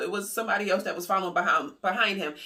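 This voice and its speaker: The tone is animated and the pace very fast. Noticeable background noise runs underneath. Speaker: YouTuber covering stimulus news. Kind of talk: casual news commentary vlog.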